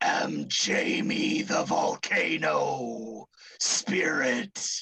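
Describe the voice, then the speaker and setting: Using a put-on character voice, a raspy man speaks very slowly. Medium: actual play. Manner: theatrical, self-important.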